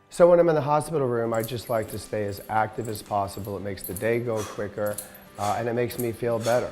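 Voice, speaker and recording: Music plays in the background as a man speaks at a medium pitch, with audible room echo. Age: 60s. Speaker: podcast host with cystic fibrosis. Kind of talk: informal talk to camera. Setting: hospital room.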